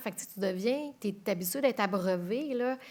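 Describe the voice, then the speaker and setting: A woman talks at a moderate pace in a normal speaking voice. Her pitch sits in the medium range, with ordinary pitch variation. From Quebec City. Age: 40s. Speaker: TV news anchor. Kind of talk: interview.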